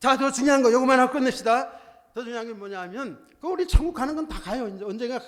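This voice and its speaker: Very fast and animated, the voice runs with hardly any pauses and big swings in loudness. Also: man, extremely high pitch for a man, ordinary pitch variation. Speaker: pastor. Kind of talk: sermon.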